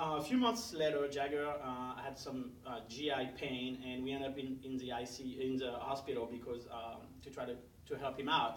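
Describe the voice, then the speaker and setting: Amid audible room echo and noticeable background noise, a man talks at a medium pitch with monotone, flat intonation and hardly any pauses. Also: moderate pace. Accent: French. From France. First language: French. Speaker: parent advocate. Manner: many fillers (uh, um).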